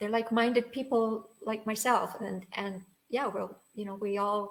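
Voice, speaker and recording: A woman's fairly high voice comes through with monotone, flat intonation. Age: 80s+. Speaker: online business owner. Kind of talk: interview answer.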